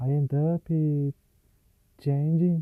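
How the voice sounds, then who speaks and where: A man with a non-native accent speaks at a very slow pace. The sound is dry and close, with no echo. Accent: Portuguese-speaker accent in English. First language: Portuguese. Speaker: English learner vlogger. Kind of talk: solo language practice monologue. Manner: halting, many fillers and restarts.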